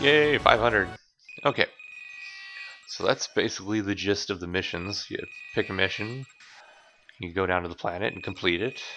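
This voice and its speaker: With music in the background, a man speaks at a moderate pace with ordinary pitch variation and long, frequent pauses. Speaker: gaming video creator. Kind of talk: gameplay commentary. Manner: casual rambling with fillers.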